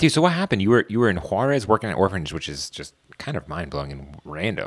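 In an American accent, a man speaks very fast with very wide pitch swings. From Washington DC area, US. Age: 20s. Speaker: podcast host. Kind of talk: casual chat. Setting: studio. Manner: casual, laid-back.

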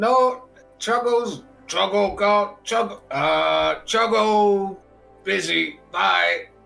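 A put-on character voice at a fairly high pitch moves at a very slow pace over faint music in the background.

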